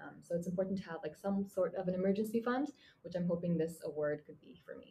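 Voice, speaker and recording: A woman with a Mongolian accent speaks at a very fast pace in a dark, mellow, somewhat breathy tone. Her medium pitch shows ordinary variation. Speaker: university student. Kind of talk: interview.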